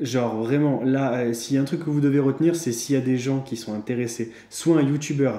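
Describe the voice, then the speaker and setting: Audible room echo surrounds a man speaking at a moderate pace and medium pitch. His tone is dark and mellow, and his intonation stays fairly even. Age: 20s. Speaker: YouTuber, personal finance vlogger. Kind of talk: casual monologue vlog. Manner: hesitant, many fillers and repetitions.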